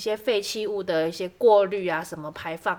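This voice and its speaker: A woman uses a normal speaking voice, pitched in the medium range, moving at a moderate pace with ordinary pitch variation. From southern Taiwan, Kaohsiung. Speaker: podcast co-host. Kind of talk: casual chat.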